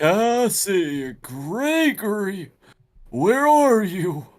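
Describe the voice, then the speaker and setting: This is a put-on character voice at a middle pitch with very wide pitch swings. The pace is very slow. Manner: creepy, menacing.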